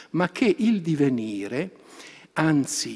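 The background stays quiet. A man's pitch swings very widely as he talks. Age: 70s. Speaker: philosophy professor; conference speaker, professor. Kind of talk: academic lecture. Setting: conference hall. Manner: hesitant. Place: hall. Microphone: podium.

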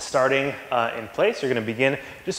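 A man's words, spoken at a moderate pace, carry audible room echo. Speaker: fitness coach. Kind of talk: tutorial. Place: gym. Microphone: camera far.

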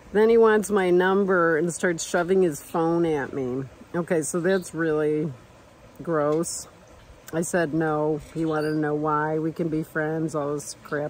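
A woman's very deep, low voice at a fairly slow pace, with fairly even intonation, a dry sound with no echo and light background noise. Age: 60s. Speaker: travel vlogger. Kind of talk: casual vlog monologue. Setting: outdoors at a hot springs campsite. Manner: casual, chatty with laughs. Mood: animated, storytelling, emphatic. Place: open country. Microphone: phone near.

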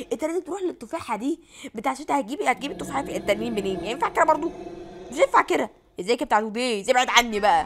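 A woman with an Egyptian accent talks very fast in an animated tone, her high pitch swinging very widely over noticeable background noise. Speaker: gaming YouTuber. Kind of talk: live gameplay commentary.

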